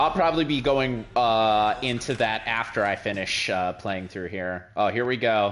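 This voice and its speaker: A man with an unremarkable speaking voice keeps a moderate pace at medium pitch, with ordinary pitch variation and hardly any pauses. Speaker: gaming streamer. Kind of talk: let's play commentary. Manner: casual, filler-heavy.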